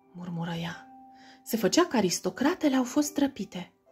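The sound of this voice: Lively intonation carried by an unforced reading voice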